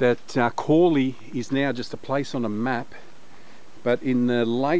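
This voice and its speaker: A man's dark, mellow voice keeps a fairly even intonation in a dry sound with no echo. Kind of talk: casual vlog commentary. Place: forest. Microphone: phone near.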